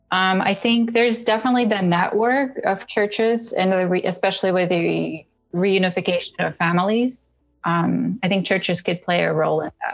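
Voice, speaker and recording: Speaking in a Russian accent, a woman uses a medium pitch, ordinary pitch variation and a moderate pace. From Siberia, Russia; moved to Los Angeles at about 9. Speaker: community advocate. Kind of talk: interview conversation. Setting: video call.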